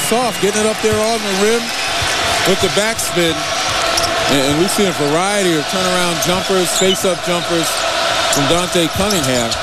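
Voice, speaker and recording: The pace is moderate, with a dry sound and no echo. Loud background noise sits behind the voice. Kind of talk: color commentary analyzing the game alongside the play-by-play caller. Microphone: headset.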